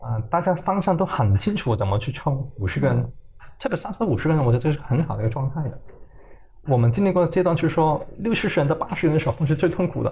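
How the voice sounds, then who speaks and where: Lively in intonation and very fast, a man with a fairly high pitch speaks in a dark, mellow tone with vocal fry. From Hong Kong. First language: Cantonese (speaking Chinese). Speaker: tech startup founder and CEO. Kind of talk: interview. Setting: company office.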